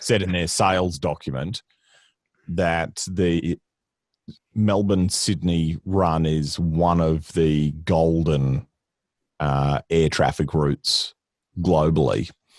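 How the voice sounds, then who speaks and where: In a Queensland accent, a man speaks at a very slow pace with long, frequent pauses and a very deep, low pitch. His intonation is fairly even, and the sound is dry and close with no echo. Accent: Australian, Queensland. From Queensland, Australia (rural farming town). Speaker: comedian and voice-over artist. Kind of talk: casual chat.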